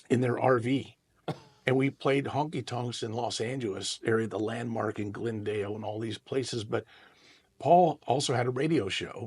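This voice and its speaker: At a moderate pace and medium pitch, a man talks in a somewhat breathy voice with ordinary pitch variation. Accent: American. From Central California (Merced). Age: 60s. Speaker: guitarist and singer-songwriter. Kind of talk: interview. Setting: podcast.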